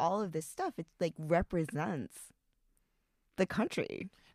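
A woman with an American accent speaks at a fairly low pitch in a plain, everyday voice. The sound is dry and close with no echo, on a very clean recording with a silent background. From United States, Chinese-Taiwanese family. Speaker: podcast co-host. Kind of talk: casual chat.

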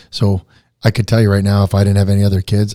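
A somewhat breathy, dark, mellow voice at a very fast pace, dry and close with no echo. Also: man. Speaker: country musician. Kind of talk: interview testimony. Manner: animated.

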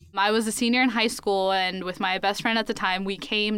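In an American accent and a plain, everyday voice, the speaker moves at a fairly quick pace with fairly even intonation on a very clean recording with a silent background. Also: woman. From US South, Columbus, Georgia. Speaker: college student. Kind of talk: casual chat.

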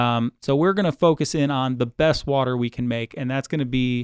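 This is a normal speaking voice from a man with an American accent. His pitch is medium and his pace fairly quick. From US Midwest, Cleveland, Ohio. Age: 40s. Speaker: aquarium supervisor. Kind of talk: interview. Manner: frequent fillers and repetitions.

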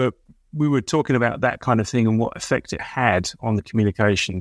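Recorded very cleanly against a silent background in a dry, close sound with no echo, a man with an English accent talks fairly quickly at a fairly low pitch with ordinary pitch variation. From England (Essex, near Colchester). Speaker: business executive and consultant. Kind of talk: interview conversation.

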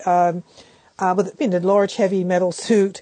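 A woman with an American accent, a dark, mellow tone, and flat, monotone intonation. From Philadelphia, US. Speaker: professor. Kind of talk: interview. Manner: halting, many fillers.

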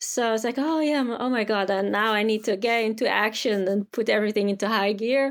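A woman with a Dutch accent talks at a fairly quick pace with hardly any pauses. Her pitch is fairly high, and her loudness stays very even. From Netherlands. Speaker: tour company founder. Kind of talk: casual interview.

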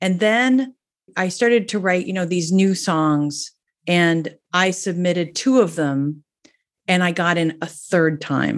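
The delivery is very slow, in an American accent. The background is quiet. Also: woman, fairly low pitch for a woman, ordinary pitch variation. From New Jersey. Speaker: singer-songwriter. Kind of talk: casual interview.

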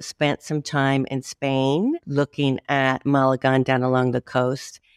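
A woman speaks with an American accent in a very deep, low voice. The sound is dry and close, with no echo. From Chicago, Illinois, US. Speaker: YouTuber, expat guest. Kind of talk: interview, casual chat.

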